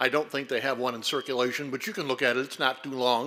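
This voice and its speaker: Over noticeable background noise, a man is speaking. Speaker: historian and lecturer. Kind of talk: lecture. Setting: stage with audience, lights. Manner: loud.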